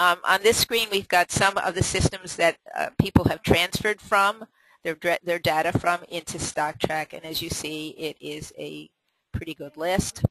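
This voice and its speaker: A woman with a fairly low pitch speaks in fairly even intonation but big swings in loudness, the sound dry and close with no echo. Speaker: software company representative. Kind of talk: software demo presentation. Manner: hesitant with fillers; fast.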